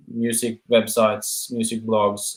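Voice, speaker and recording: A man with a Norwegian accent speaks at a medium pitch. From Norway. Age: 30s. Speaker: musician. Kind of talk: interview. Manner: halting.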